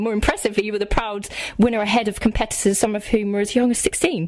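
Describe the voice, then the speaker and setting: Words come out at a very fast pace, with noticeable background noise behind them. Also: woman. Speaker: radio presenter. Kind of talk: radio interview.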